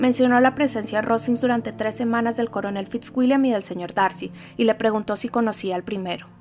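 An unforced reading voice comes through in this clip.

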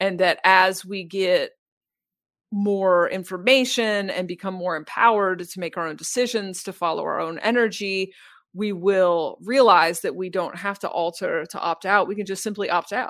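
In a very clean recording with a silent background, a woman talks at a moderate pace. She has a plain, everyday voice, medium in pitch, with fairly even intonation. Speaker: spiritual podcaster and guide. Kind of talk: casual interview conversation.

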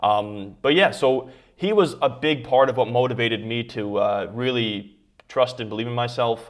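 This is an unremarkable speaking voice at a moderate pace. Its pitch varies in an ordinary way. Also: man, medium pitch for a man. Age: 20s. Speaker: YouTuber and online entrepreneur. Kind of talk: interview.

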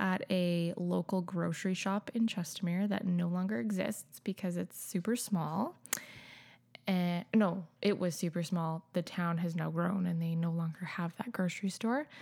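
With a Canadian accent, a woman has an ordinary speaking voice at a fairly low pitch, ordinary pitch variation and a moderate pace, on a very clean recording with a silent background. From Calgary, Canada. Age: 30s. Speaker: substitute teacher and new mother. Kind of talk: casual chat.

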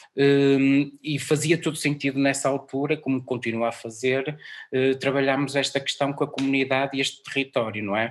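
A man with a fairly high pitch speaks in a monotone, flat way at a moderate pace against a quiet background. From northern Portugal, Guimarães area. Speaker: music programmer and musician. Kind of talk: interview.

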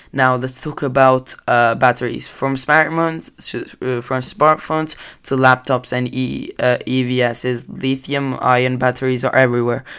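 This man has a medium pitch and a non-native accent, with a bright, sharp tone. He talks at a fairly slow pace in a monotone, flat intonation. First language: not English. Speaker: amateur sports podcaster. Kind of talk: solo news-style podcast. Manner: halting, many fillers.

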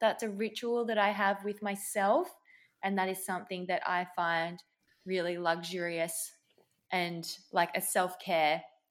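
On a very clean recording with a silent background, a woman with an Australian accent speaks at a fairly slow pace and medium pitch with fairly even intonation. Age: 20s. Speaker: paramedic. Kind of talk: interview.

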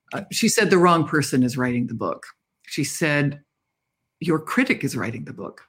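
The speaker has a Canadian accent and a fairly quick pace. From Canada. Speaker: novelist. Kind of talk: interview. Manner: animated.

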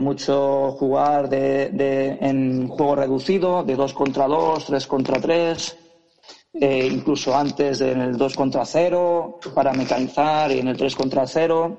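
At a very slow pace, a man with a fairly high pitch talks with fairly even intonation. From Badalona, Catalonia, Spain. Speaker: youth basketball coach. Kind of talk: interview.

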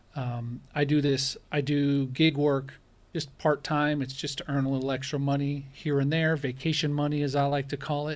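A man with a fairly high pitch talks in a monotone, flat intonation on a very clean recording with a silent background. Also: moderate pace. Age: 40s. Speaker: rideshare driver and YouTuber. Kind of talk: casual interview chat.

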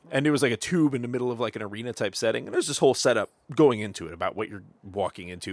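Over a silent background on a very clean recording, a man talks very fast. His pitch is medium with ordinary variation. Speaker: podcast host. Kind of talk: casual chat. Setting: studio.

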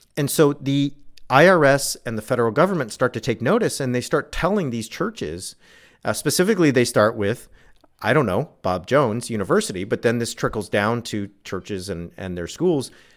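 A fairly quick Californian accent with very wide pitch swings, on a very clean recording over a silent background. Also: man, medium pitch for a man. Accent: Californian American English. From Southern California. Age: 40s. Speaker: author and religion scholar. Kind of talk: interview.

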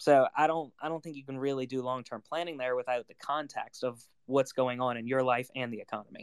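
A man with an ordinary speaking voice talks at a fairly quick pace with hardly any pauses, at medium pitch and with fairly even intonation. The sound is dry and close, with no echo. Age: 20s. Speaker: personal finance podcaster. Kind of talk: casual panel discussion. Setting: Twitter Spaces live audio room.

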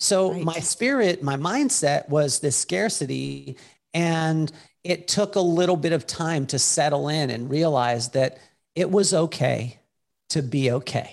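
A man with an American accent and a plain, everyday voice speaks at a fairly slow pace in a fairly high pitch with lively intonation, against a quiet background. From Utah. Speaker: keynote speaker and author. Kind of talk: interview.

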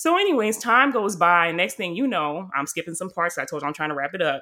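Recorded very cleanly against a silent background, a woman talks with a bright, sharp tone. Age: 20s. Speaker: podcast host. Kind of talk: casual chat.

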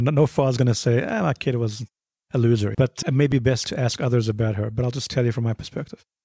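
A man with a medium-pitched, dark and mellow voice talks very fast, somewhat breathy and fairly even in intonation, on a very clean, dry, close recording with no echo and a silent background. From South Africa, Johannesburg. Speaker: bereaved father. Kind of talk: testimony.

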